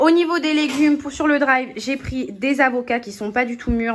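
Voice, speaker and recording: A woman talks over noticeable background noise. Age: 20s. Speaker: vlogger. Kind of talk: casual vlog narration. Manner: casual, with filler hesitations. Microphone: damaged mic, poor voiceover sound.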